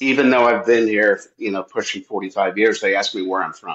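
His pitch is medium. This man talks with an American accent. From Michigan (Southfield, Detroit suburbs). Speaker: former corporate salesman. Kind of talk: casual chat.

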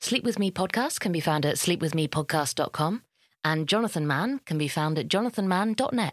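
Recorded very cleanly against a silent background, a woman with a plain, everyday voice speaks at a fairly quick pace, fairly low in pitch, with lively intonation. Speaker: podcast creator and host. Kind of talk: podcast promo, casual chat.

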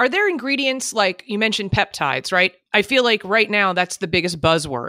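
Speaking at a fairly quick pace with hardly any pauses, a woman with a medium pitch sounds animated and bright, her tone sharp and her pitch swinging very widely, in a dry, close recording that is very clean with a silent background. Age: 40s. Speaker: podcast host. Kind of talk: casual chat.

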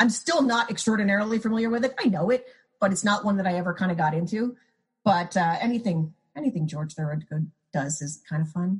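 Somewhat breathy, a woman with an American accent speaks at a medium pitch and a fairly quick pace, her intonation lively. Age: 40s. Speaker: music critic. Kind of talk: casual chat.

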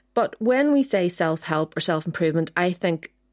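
With an ordinary speaking voice, a woman talks at a fairly quick pace in a fairly low pitch, her intonation lively and the sound dry and close with no echo. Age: 40s. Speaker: podcast co-host, doctor. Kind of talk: casual chat.

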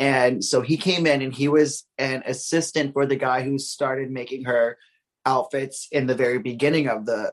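Here is a man with a normal speaking voice and a medium pitch. He speaks at a moderate pace with fairly even intonation. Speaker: gossip page runner. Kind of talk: casual chat.

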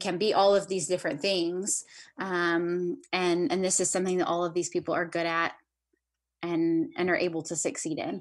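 Against a quiet background, a woman with an American accent talks at a moderate pace in an ordinary speaking voice, her pitch fairly low. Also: fairly even intonation. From US South. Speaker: adoptive mother of four. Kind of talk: casual interview.

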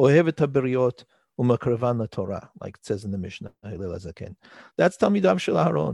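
With a quiet background and a dry, close sound with no echo, a man talks at a very fast pace and a medium pitch, using very wide pitch swings, big swings in loudness and vocal fry. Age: 40s. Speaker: rabbi. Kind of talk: interview. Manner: halting.

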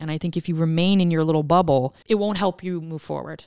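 A woman with an American accent and an ordinary speaking voice talks in a fairly low pitch with lively intonation. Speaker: author and writer. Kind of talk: interview conversation.

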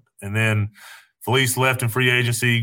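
A man with an East Tennessee accent speaks at a moderate pace and a medium pitch, with a bright, sharp tone. His intonation is fairly even, and the recording is very clean with a silent background. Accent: Southern US (East Tennessee). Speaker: retired football player. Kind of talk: casual chat.

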